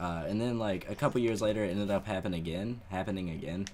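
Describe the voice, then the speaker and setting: A man speaks at a fairly quick pace with a very deep, low pitch and ordinary pitch variation. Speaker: gaming YouTuber. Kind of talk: live gameplay commentary with storytelling. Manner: quiet, not loud.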